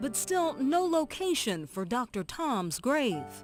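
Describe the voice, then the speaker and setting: The speech comes at a very slow pace with music in the background. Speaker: reporter / narrator. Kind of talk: radio news feature narration.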